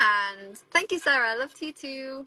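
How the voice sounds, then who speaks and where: Against a quiet background, a voice with a British accent and a bright, sharp tone moves with lively intonation, recorded dry and close with no echo. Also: woman. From England. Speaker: travel vlogger and photographer. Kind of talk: live stream Q&A chat. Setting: live stream from a van with video calls. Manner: casual, chatty.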